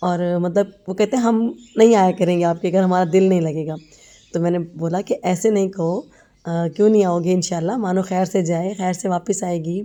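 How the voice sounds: A woman's fairly low voice with a dark, mellow tone, fairly even intonation and a moderate pace.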